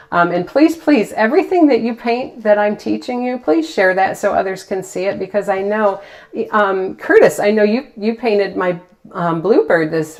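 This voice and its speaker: A moderate pace and lively intonation come through over noticeable background noise. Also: woman. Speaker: painting teacher. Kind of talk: live painting demo chat. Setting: livestream. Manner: animated.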